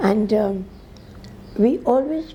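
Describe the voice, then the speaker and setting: Against noticeable background noise, a woman with a fairly high voice makes very wide pitch swings. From India, Anglo-Indian, Uttar Pradesh. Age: 80s+. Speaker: religious sister and teacher. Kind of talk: interview. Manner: halting.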